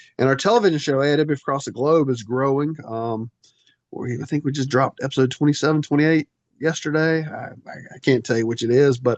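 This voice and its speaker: At a very fast pace, a man with a Southern US accent talks at a fairly high pitch with ordinary pitch variation. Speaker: wrestling federation executive director. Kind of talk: podcast interview.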